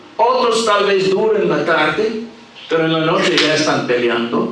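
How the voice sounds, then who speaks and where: A man with a non-native accent and a high pitch speaks at a very slow pace with very wide pitch swings, amid noticeable background noise and audible room echo. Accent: foreign accent in Spanish. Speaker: visiting preacher. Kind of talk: sermon. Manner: halting.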